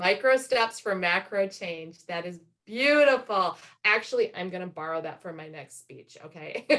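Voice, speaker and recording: A woman with a medium pitch and a bright, sharp tone at a moderate pace, with lively intonation and big swings in loudness. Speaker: motivational speaker and business coach. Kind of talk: motivational talk.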